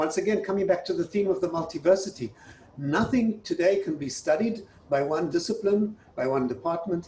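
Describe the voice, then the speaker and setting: A man with a South African accent speaks at a high pitch. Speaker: university president. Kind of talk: interview.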